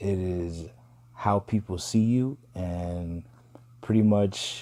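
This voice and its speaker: A man's fairly low voice has a dark, mellow tone and fairly even intonation. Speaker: astrology video host. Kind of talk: casual talk to viewers. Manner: slow; casual, hesitant with fillers.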